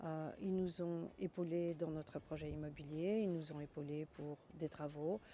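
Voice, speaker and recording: A woman's very deep, low voice has a dark, mellow tone, fairly even intonation and a fairly slow pace. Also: hardly any pauses. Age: 60s. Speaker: bank customer. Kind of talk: testimony.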